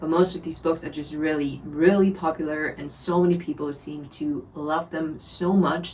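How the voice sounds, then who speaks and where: A woman talks with a German accent. Her pace is fairly slow. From Germany. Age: 20s. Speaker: book reviewer. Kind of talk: casual talk to camera.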